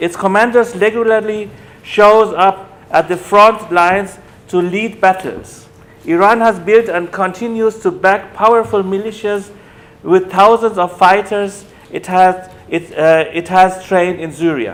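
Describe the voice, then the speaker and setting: A fairly slow, high-pitched man's voice with fairly even intonation amid noticeable background noise. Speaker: academic lecturer on human rights. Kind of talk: lecture. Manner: halting, with self-corrections.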